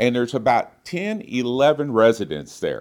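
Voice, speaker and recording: A man with a plain, everyday voice, medium pitch and lively intonation, at a moderate pace over a quiet background. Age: 60s. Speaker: guest preacher. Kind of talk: sermon.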